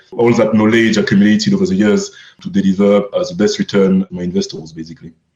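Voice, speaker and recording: With a French accent, a man speaks at a very fast pace. His pitch is fairly low, with ordinary variation. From France. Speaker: crypto fund manager. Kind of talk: podcast interview.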